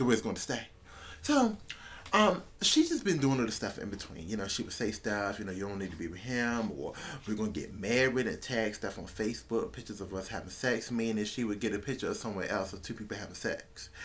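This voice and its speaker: The speech comes at a very fast pace with ordinary pitch variation. Audible room echo surrounds it. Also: man, medium pitch for a man. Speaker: vlogger. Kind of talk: casual storytelling vlog.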